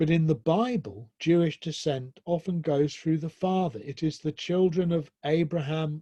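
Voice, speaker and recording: A man talks at a fairly slow pace in a southern English accent, his dark, mellow tone somewhat breathy and the sound dry and close with no echo. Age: 60s. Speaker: professor, speaker. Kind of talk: lecture, personal testimony. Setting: online presentation with slides.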